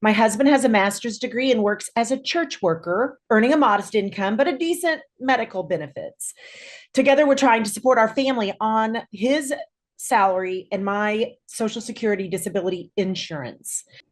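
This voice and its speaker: With an American accent, an ordinary speaking voice keeps a moderate pace and lively intonation. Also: woman, fairly high pitch for a woman. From Kansas. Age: 60s. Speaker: clinical social worker. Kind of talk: reading prepared statement. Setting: video call.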